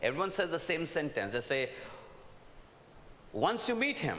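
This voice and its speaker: The tone is animated, with noticeable background noise and audible room echo. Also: man. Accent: Indian. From India. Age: old. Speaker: preacher. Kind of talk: sermon. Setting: stage with audience.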